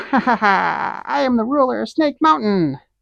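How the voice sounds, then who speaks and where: Fairly slow pacing in a put-on character voice. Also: female-sounding voice, fairly high pitch for a woman. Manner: pompous, menacing.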